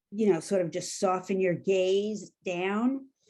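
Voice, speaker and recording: The voice has a dark, mellow tone and comes with a New York accent. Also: woman. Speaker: coaching trainer. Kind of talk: guided exercise; workshop facilitation. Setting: video call.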